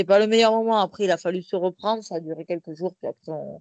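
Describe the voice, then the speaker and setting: A woman speaks at medium pitch and a moderate pace in an unremarkable speaking voice. The sound is dry and close with no echo, over a quiet background. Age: 30s. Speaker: professional boxer and police officer. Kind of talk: interview.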